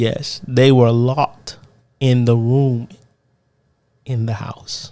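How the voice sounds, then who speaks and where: A man talks at a medium pitch in a dark, mellow tone. His intonation is monotone and flat, and his pace is very slow. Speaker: podcast co-host. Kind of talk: casual chat.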